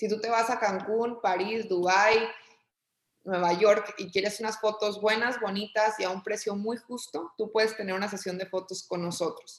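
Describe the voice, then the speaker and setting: A woman with an unremarkable speaking voice talks at a moderate pace, at a medium pitch with fairly even intonation. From Mexico, Torreón, Coahuila. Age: 30s. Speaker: entrepreneur and business consultant. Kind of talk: casual interview conversation.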